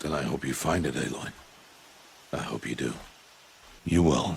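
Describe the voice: In a put-on character voice, a man speaks at a fairly slow pace with an extremely low pitch, vocal fry and ordinary pitch variation, with audible room echo.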